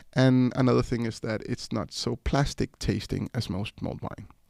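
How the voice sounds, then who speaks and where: A man with a medium-pitched voice and a dark, mellow tone speaks with fairly even intonation in a dry, close recording with no echo. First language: Spanish (one of several). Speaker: rum producer and former bar owner. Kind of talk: casual interview chat.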